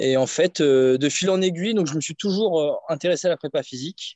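Speaking at a fairly slow pace, the man lets his pitch vary in an ordinary way. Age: 30s. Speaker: strength and conditioning coach. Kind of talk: casual interview. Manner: hesitant, many fillers.

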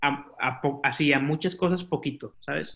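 A man's bright, sharp tone at a fairly slow pace with fairly even intonation, on a very clean recording with a silent background. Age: 20s. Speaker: podcaster and marketing student. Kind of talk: casual chat.

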